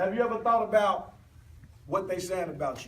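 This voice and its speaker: A man with an American accent speaks at a high pitch with ordinary pitch variation. There is audible room echo and noticeable background noise. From US South. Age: 30s. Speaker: motivational speaker. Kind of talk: motivational speech. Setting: stage with audience.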